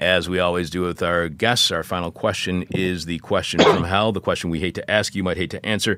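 With a Michigan accent, a man talks at a fairly quick pace with hardly any pauses, his very deep, low voice in fairly even intonation. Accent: Michigan (northern cities). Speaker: radio host. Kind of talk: radio interview and show intro. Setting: studio.

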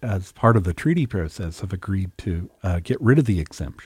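A man with a fairly low, dark and mellow voice speaks fairly quickly with lively intonation and a somewhat breathy quality. The sound is dry and close with no echo, on a very clean recording with a silent background. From Canadian West Coast, First Nation between Vancouver Island and mainland. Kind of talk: radio interview. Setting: radio studio.

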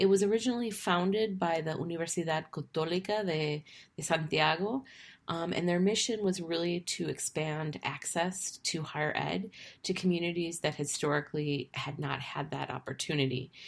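A woman's fairly low voice at a fairly slow pace, with ordinary pitch variation, in a very clean recording against a silent background. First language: English (speaking Spanish). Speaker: university lecturer and podcast host. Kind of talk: podcast intro monologue. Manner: halting, many fillers.

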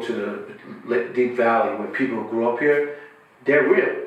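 Over noticeable background noise and audible room echo, a man speaks at a fairly slow pace. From Queens, New York. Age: 50s. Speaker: music manager. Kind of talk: casual chat.

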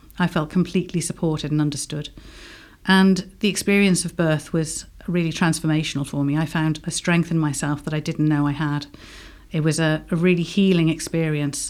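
A woman's very deep, low voice in an English accent, monotone and flat, at a fairly quick pace over a silent background in a very clean recording. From England. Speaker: home birth midwife. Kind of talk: radio interview. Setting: studio.

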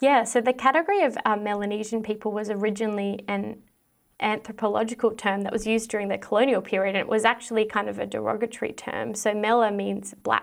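Talking at a very fast pace, a woman with an Australian accent keeps a fairly high pitch and fairly even intonation in a very clean recording with a silent background. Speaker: historian, PhD student. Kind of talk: interview.

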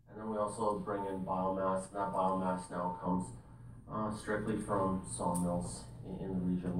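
A man speaks at a moderate pace with lively intonation and a very deep, low pitch, over noticeable background noise. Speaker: forestry planning supervisor. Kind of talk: presentation to council.

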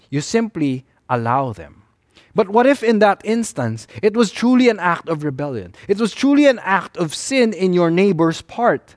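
In a Filipino accent, the speaker moves at a moderate pace with very wide pitch swings, recorded with a dry, close sound and no echo. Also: man, high pitch for a man. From Philippines. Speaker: pastor. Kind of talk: sermon.

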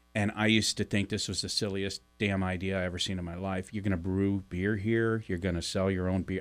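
Very deep and low in pitch, a man with an American accent speaks fairly quickly in a monotone, flat intonation with hardly any pauses. The recording is very clean, with a silent background. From US Midwest, St. Louis, Missouri. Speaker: podcast co-host, publisher. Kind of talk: casual chat. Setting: radio studio.

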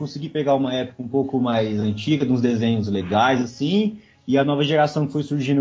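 A somewhat breathy voice talks at a fairly quick pace with ordinary pitch variation. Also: man. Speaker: podcast co-host. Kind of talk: casual chat.

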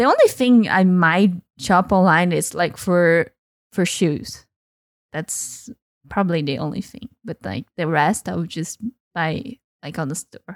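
A woman in a Brazilian accent talks at a fairly slow pace with long, frequent pauses and ordinary pitch variation, the sound dry and close with no echo on a very clean recording with a silent background. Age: 20s. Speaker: data analyst. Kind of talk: casual chat. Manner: laughs often.

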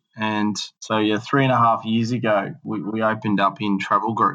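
A man with an Australian accent speaks at a moderate pace and medium pitch with a bright, sharp tone against a quiet background. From Australia, northern New South Wales. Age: 30s. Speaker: entrepreneur. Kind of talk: interview. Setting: remote recording from Melbourne. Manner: halting, many fillers.

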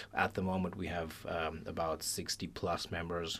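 The man's very deep, low voice moves at a moderate pace. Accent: Pakistani. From Pakistan. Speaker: club treasurer. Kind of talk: casual radio interview. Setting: studio.

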